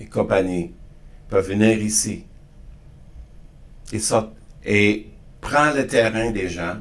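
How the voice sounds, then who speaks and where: A man is speaking. His pitch sits fairly low. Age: 60s. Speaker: podcast guest on diversity and inclusion. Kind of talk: interview conversation. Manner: halting, frequent repetitions and restarts.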